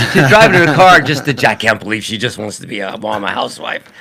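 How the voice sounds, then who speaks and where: A man at medium pitch with very wide pitch swings, talking at a very fast pace over noticeable background noise. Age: 60s. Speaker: religion talk show co-host. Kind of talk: casual chat.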